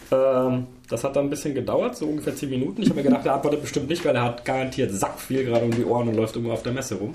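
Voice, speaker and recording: There is noticeable background noise and audible room echo as a man with a medium pitch speaks at a very fast pace. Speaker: games podcast co-host. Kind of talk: casual chat. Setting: gamescom recording, noisy chair.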